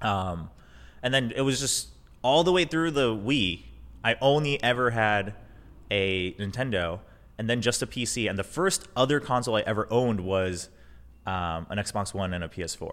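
Recorded very cleanly against a silent background, a man with an unremarkable speaking voice and a medium pitch talks at a moderate pace with lively intonation. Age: 30s. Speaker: esports caster and streamer. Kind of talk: casual chat. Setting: studio.

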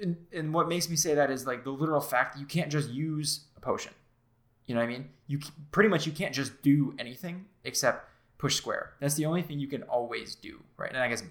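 A man with an unremarkable speaking voice talks at a fairly quick pace and fairly high pitch. His pitch variation is ordinary, but his loudness swings widely. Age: 20s. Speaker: video game podcast co-host. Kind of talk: casual chat.

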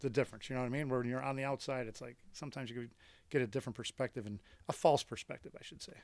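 Speaking very fast with an American accent, a man with a medium pitch keeps his intonation fairly even while his loudness swings widely. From Buffalo, New York. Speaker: baseball coach. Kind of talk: casual interview.

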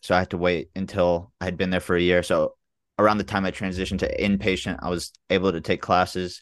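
Speaking at a very fast pace, a man has a very deep, low pitch and monotone, flat intonation. The background stays quiet. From Memphis, Tennessee. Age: 20s. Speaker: dental student, Navy veteran. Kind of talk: casual chat.

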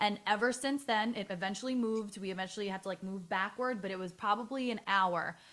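A woman talks in a normal speaking voice with ordinary pitch variation. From New York, the Bronx. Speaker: actress and wedding singer. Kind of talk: casual chat.

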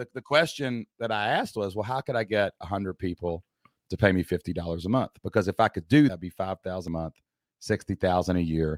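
At a very fast pace, this voice shows ordinary pitch variation in a dry, close sound with no echo. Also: man, very deep, low pitch for a man, very clean recording, silent background. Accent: Appalachian. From Southeast Kentucky. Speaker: entrepreneur and former teacher. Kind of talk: casual interview chat.

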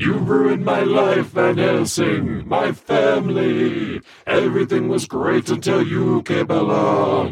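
Someone performs a put-on character voice at a fairly slow pace with a slight echo. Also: man, medium pitch for a man. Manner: furious, shouting.

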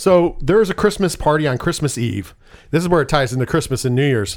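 Male speaker at a fairly quick pace with very wide pitch swings, on a very clean recording with a silent background. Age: 30s. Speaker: podcast host. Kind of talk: casual chat. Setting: studio.

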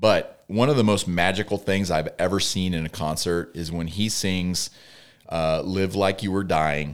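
A man's very deep, low pitch, fairly slow pace and fairly even intonation, in a very clean recording with a silent background. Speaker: podcast co-host. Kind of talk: casual chat.

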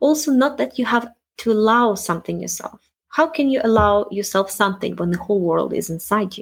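Lively intonation and a fairly quick pace mark this speaker with a non-native accent. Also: woman, medium pitch for a woman. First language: not English. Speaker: self-help podcast host, wellness coach. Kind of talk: solo monologue podcast.

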